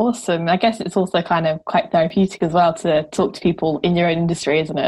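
A woman speaks very fast in a fairly low, somewhat breathy voice, with hardly any pauses. The background is quiet. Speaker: radio presenter. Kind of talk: radio show presenting. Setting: radio studio.

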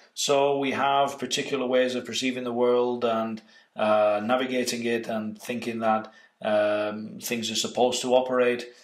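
Delivered in a monotone, flat intonation, the voice carries audible room echo over a quiet background. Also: man, moderate pace. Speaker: meditation and lucid dreaming trainer. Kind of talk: workshop introduction lecture. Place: home room.

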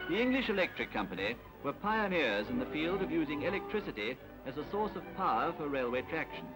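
Music plays in the background as a man with a fairly high pitch speaks with very wide pitch swings. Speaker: newsreel narrator. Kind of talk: documentary newsreel commentary.

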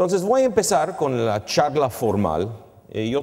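A man speaks at a fairly slow pace with an English accent. His pitch swings very widely. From Canada. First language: English (speaking Spanish). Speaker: finance professor. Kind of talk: lecture. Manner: halting, mixing in English words. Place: stage. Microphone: lapel.

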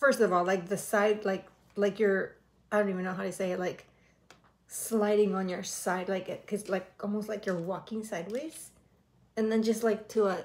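A woman talks with fairly even intonation, keeping a moderate pace. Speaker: reaction video host. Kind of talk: commentary. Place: home room. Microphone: earbuds.

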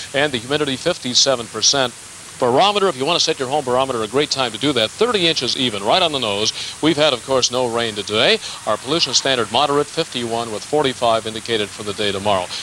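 Delivered at a very fast pace with ordinary pitch variation, the voice sounds dry with no echo over light background noise. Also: man. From Cleveland, Ohio, USA. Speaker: TV weather forecaster. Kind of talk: TV weather report. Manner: casual, chatty, conversational. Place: open country.

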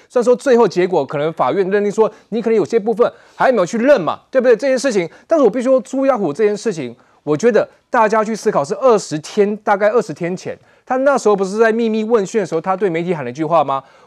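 Speaking at a very fast pace over a quiet background, a man uses a high pitch and lively intonation. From Taiwan. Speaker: political commentator. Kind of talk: political talk show panel. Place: studio.

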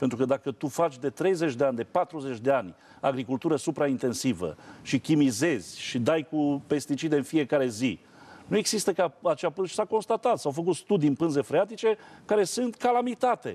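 Dark and mellow in tone, a man's fairly high voice swings very widely in pitch while holding very even loudness at a moderate pace. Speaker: priest and agricultural TV journalist. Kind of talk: TV talk show discussion. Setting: TV studio. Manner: animated. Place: studio. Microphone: lapel.

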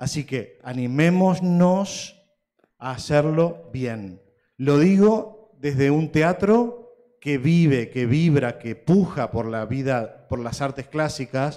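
Speaking at a very slow pace, a man with a fairly high pitch has a dark, mellow tone and lively intonation. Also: quiet background. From Uruguay. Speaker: opera house director; panelist. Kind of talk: conference closing speech. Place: hall. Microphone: handheld.

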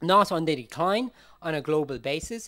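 Over a quiet background, a man with a high pitch speaks fairly quickly with lively intonation. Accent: Irish. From Ireland. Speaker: humanitarian forensic expert; conference presenter. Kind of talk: conference talk. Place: hall.

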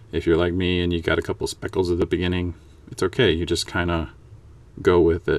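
The man's voice has a very deep, low pitch. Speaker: miniature painting hobbyist. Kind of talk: painting tutorial narration. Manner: monotone.

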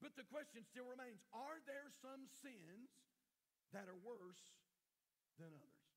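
A man with an American accent speaks at an extremely high pitch. His pace is fairly slow and his intonation lively. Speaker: pastor. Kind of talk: sermon. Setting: church.

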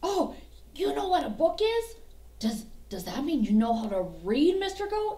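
A woman's cartoonish character voice, high-pitched with very wide pitch swings, at a moderate pace with long, frequent pauses, over light background noise. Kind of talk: children's puppet show. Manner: eager, excitable.

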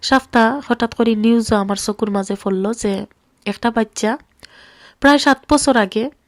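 A woman with a Sylheti accent speaks at a fairly high pitch in a very clean recording with a silent background and a dry, close sound with no echo. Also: fairly even intonation. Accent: Sylheti Bengali. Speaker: vlogger. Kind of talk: video monologue. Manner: emotional.

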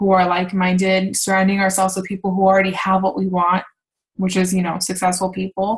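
A woman's somewhat breathy voice with monotone, flat intonation, over a quiet background. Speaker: fitness coach leading team call; team coach leading a call. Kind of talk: team call presentation. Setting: online video call. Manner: casual, filler-heavy. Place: home room. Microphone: webcam.

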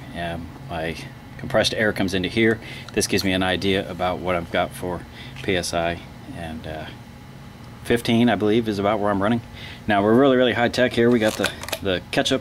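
A man talks at a fairly quick pace with ordinary pitch variation. Light background noise can be heard. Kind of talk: casual tutorial narration. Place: street. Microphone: phone near.

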